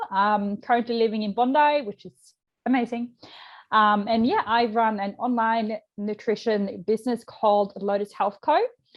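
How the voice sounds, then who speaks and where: A woman speaks with a slight Swedish accent. Her pitch is fairly high, and her intonation is fairly even. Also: moderate pace. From Sweden. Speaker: nutrition coach. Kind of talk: podcast interview. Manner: casual, many fillers.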